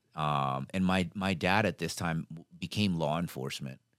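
On a very clean recording with a silent background and a dry, close sound with no echo, a man speaks at a moderate pace in a very deep, low pitch with ordinary pitch variation. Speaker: retired Navy SEAL and leadership instructor. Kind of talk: casual interview. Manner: animated.

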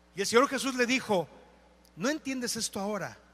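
Noticeable background noise sits behind this speaker. He is a man with an extremely high pitch. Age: 40s. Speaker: pastor. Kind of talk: sermon. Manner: animated.

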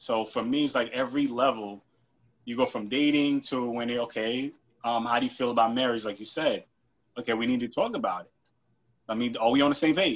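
A man with an American accent and a plain, everyday voice speaks at a medium pitch and a fairly quick pace. His intonation is fairly even, while his loudness swings widely. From New York. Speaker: IT analyst. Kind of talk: casual chat.

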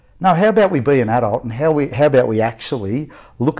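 With an Australian accent, the speaker has a dark, mellow tone, lively intonation and a fairly quick pace. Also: man. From Victoria, Australia (Melbourne outskirts). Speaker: youth worker. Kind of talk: casual interview. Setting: podcast interview.

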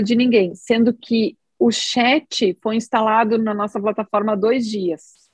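A woman speaks at a fairly slow pace with a fairly high, somewhat breathy voice. Her intonation stays fairly even, and the sound is dry and close with no echo. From southern Brazil, Rio Grande do Sul. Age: 40s. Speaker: oncologist and app co-founder. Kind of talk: podcast interview.

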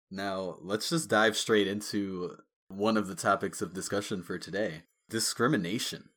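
This man has a normal speaking voice with an American accent, fairly low pitch, ordinary pitch variation and a moderate pace, on a very clean recording with a silent background. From US. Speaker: podcast co-host. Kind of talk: casual chat.

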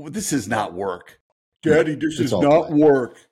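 A man puts on a character voice, fairly high in pitch, and talks at a moderate pace. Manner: silly.

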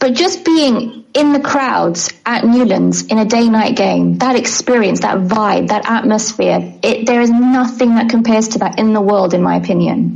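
A woman speaks at a moderate pace with hardly any pauses and very even loudness. Noticeable background noise runs behind her. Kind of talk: casual interview chat.

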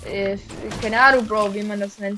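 A woman with a Swiss accent at a fairly quick pace, amid noticeable background noise. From Switzerland. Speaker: gaming YouTuber. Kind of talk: gameplay commentary. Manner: animated.

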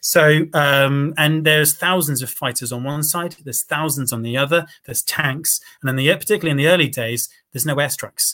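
A man's fairly high, bright and sharp voice in a southern English accent, fairly quick, with fairly even intonation. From England, Cambridge. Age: 30s. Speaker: former volunteer fighter. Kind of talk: interview.

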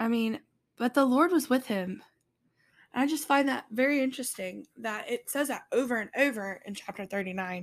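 At a moderate pace, a woman speaks with lively intonation and high pitch in a very clean recording with a silent background. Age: 20s. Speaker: podcast host and church worker. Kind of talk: casual devotional talk. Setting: home, living room table. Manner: informal, rambling.

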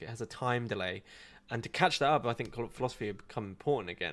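A man with an English accent and a medium pitch, talking at a very fast pace on a very clean recording with a silent background. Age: 20s. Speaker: online philosophy content creator. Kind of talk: live Q&A stream. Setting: live video stream. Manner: casual, hesitant with fillers.

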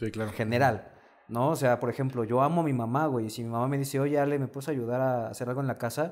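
A man rattles along at a very fast pace in a medium pitch with fairly even intonation. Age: young. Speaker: dating coach. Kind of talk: casual chat.

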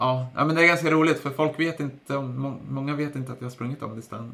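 A man speaks at a very fast pace in a medium-pitched voice, his intonation fairly even. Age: 30s. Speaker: podcast host and runner. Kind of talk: interview as guest, casual chat.

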